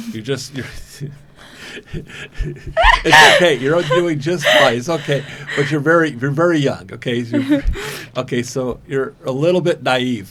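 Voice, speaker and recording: Over noticeable background noise, a man with a fairly high pitch speaks fairly slowly, with ordinary pitch variation and long, frequent pauses. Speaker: podcast host interviewing a young woman. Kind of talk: interview questions.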